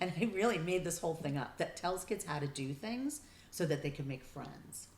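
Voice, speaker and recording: Lively intonation runs through this speech. There is a somewhat breathy quality to it. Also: woman. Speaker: family therapist. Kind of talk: interview.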